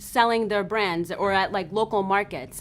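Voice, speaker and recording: Speaking fairly slowly, a woman uses a normal speaking voice. Her pitch sits in the medium range. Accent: American. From Zimbabwe. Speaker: fashion designer. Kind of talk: interview. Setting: in her store.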